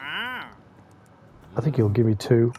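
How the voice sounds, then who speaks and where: A man at a very slow pace, with music in the background. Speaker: gaming channel creator. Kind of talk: casual gameplay commentary. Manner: relaxed, chilled.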